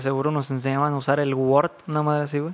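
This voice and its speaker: This man's voice sits fairly high, and his words come out at a very fast pace. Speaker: podcast co-host. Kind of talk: storytelling. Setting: at home.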